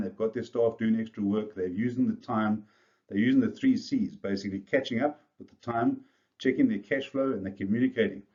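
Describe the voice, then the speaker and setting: Speaking at a very fast pace, a man with a South African accent uses a medium pitch, a dark, mellow tone and fairly even intonation. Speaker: business coach. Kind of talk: video presentation to business leaders.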